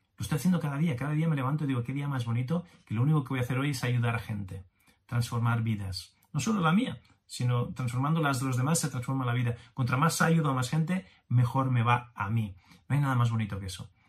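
A man's somewhat breathy voice at a medium pitch, very fast in pace, with ordinary pitch variation. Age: 50s. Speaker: business coach podcaster. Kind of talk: motivational monologue. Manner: animated.

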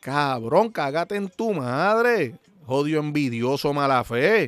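With a Puerto Rican accent, a man speaks at a fairly high pitch with lively intonation, the sound dry and close with no echo. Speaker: podcast host. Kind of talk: casual monologue. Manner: animated.

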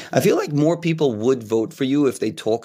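A plain, everyday voice at a fairly quick pace, with ordinary pitch variation, on a very clean recording against a silent background. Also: man. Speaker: podcast host. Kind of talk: casual interview.

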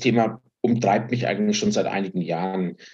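This man's voice is somewhat breathy. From Franconia, Germany. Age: 50s. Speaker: finance executive and fund founder. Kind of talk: casual interview.

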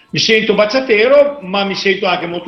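With audible room echo around him, a man talks at a moderate pace with ordinary pitch variation. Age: 50s. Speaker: DJ and dance event organizer. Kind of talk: interview.

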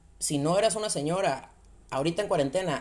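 A woman speaks with a slight Sonora accent and lively intonation. Her pitch is fairly low and her pace fairly quick. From Sonora, northern Mexico. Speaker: podcast host. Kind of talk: casual monologue.

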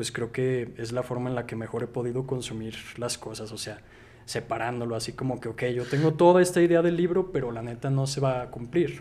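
At a fairly quick pace, a man speaks in a normal speaking voice with medium pitch. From Mexico, Zacatecas. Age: 20s. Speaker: writer and film YouTuber. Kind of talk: casual chat.

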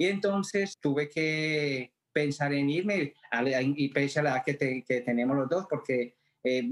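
A man's unremarkable speaking voice, fairly high in pitch, at a fairly slow pace. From Colombia. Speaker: theatre actor. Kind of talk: interview testimony.

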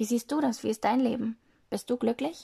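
The sound of a woman's voice is dry and close, without echo. Her pitch shifts in an ordinary way. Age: 20s. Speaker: podcaster. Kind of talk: casual monologue. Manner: hesitant, many fillers.

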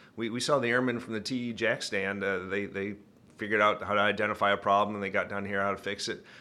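A man with a Michigan accent, very fast, fairly low-pitched and monotone, in a bright, sharp tone on a very clean recording with a silent background. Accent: Michigan, northern US. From Michigan, US. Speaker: retired Air Force pilot, innovation director. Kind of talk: interview about innovation work.

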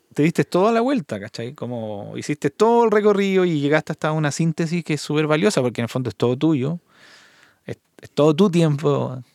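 Speaking at a fairly quick pace, a man with a fairly high pitch makes very wide pitch swings and big swings in loudness, in a dry, close recording with no echo, very clean with a silent background. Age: 50s. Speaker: podcast host, mastering engineer. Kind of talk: interview.

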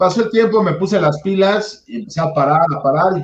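With lively intonation and a somewhat breathy sound, a man talks at a fairly quick pace. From Mexico, Puebla. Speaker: sports podcast host. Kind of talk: casual chat.

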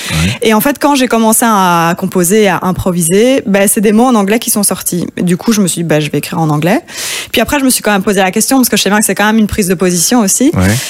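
Speaking very fast, a woman uses lively intonation at a medium pitch. Her loudness stays very even. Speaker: singer-songwriter. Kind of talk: interview. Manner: calm.

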